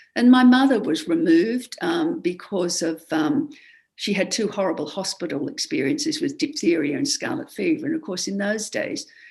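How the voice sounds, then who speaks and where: A somewhat breathy woman at a moderate pace, with very wide pitch swings. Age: 70s. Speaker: education historian and author. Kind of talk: podcast interview. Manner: halting, many fillers.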